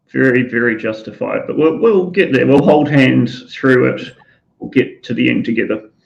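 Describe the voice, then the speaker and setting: A man with a New Zealand accent speaks at a moderate pace. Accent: New Zealand, often taken for English. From New Zealand, Auckland. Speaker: talk show co-host. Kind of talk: live online talk show.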